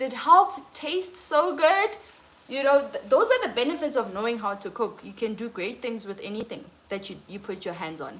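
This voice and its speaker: Over noticeable background noise, a woman with a non-native accent speaks at a moderate pace. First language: not English. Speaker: lifestyle and cooking coach. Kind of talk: livestream talk.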